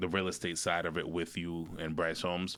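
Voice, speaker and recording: A man's bright, sharp tone with a slight Caribbean accent. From New York, raised in New Jersey. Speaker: real estate broker and mortgage lender. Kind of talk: podcast interview.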